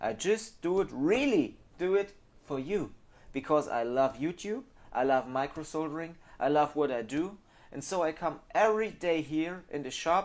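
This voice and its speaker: With a German accent, a man speaks at a fairly high pitch. His pace is moderate and his intonation lively. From Germany. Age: 30s. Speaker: phone repair technician. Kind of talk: monologue to camera. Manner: halting.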